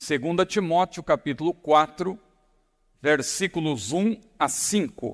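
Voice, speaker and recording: A man's high voice, very slow with long, frequent pauses and lively intonation, in a dry, close sound with no echo and a very clean recording with a silent background. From São Paulo, Brazil. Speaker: pastor. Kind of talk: sermon. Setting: church.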